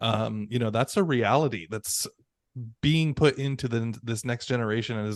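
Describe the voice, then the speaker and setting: With a normal speaking voice, a man talks at a medium pitch and moderate pace with ordinary pitch variation over a quiet background. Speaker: podcast co-host; ESL teacher. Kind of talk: casual podcast conversation.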